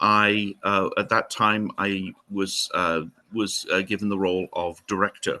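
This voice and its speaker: A man speaks with a Welsh accent. His pace is fairly slow. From Wales, Newport in Gwent. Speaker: historian and heritage centre director. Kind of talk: interview. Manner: hesitant, many fillers.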